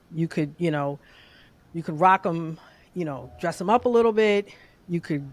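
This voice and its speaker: A woman with a fairly low pitch and ordinary pitch variation talks in a very clean recording where the background is silent. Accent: New York. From New York City, Queens. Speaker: database engineer. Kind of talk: casual chat. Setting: podcast recording.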